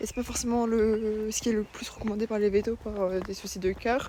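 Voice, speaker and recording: Over noticeable background noise, a woman talks in a fairly high pitch with monotone, flat intonation. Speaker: vlogger. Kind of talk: casual vlog talk. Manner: soft-spoken; hesitant, many fillers.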